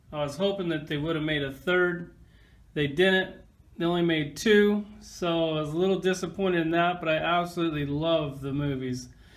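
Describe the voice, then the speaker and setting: Speaking at a moderate pace with fairly even intonation, a man with a high voice is heard over audible room echo. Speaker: toy collector reviewer. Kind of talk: casual toy review. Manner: casual, conversational.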